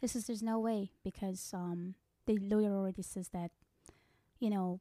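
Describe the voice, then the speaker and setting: In a Persian accent, a woman with a dark, mellow tone speaks with fairly even intonation, the sound dry and close with no echo in a very clean recording with a silent background. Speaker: psychic medium. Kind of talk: casual interview about her work.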